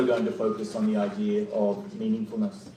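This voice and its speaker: A man talks at a fairly quick pace with very wide pitch swings, with audible room echo and noticeable background noise. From Australia. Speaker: professor. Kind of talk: keynote lecture. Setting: conference hall with audience.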